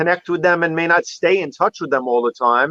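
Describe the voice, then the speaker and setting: With a Manhattan accent, a man talks at a high pitch with ordinary pitch variation, the sound dry and close with no echo. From New York City, Manhattan. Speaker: photography show host, guest. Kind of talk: casual chat on a live stream.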